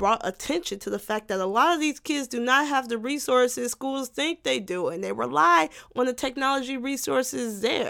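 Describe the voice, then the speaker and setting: A woman's animated voice, moderate in pace and very wide in pitch swings, on a very clean recording with a silent background. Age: 20s. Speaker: podcast host. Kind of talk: satirical comedic monologue. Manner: animated, rambling.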